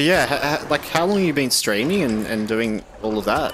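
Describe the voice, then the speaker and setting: Over noticeable background noise, a man at medium pitch speaks in an Australian accent with very wide pitch swings. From Australia, eastern Victoria. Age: 20s. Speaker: gaming streamer. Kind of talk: casual chat. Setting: live stream.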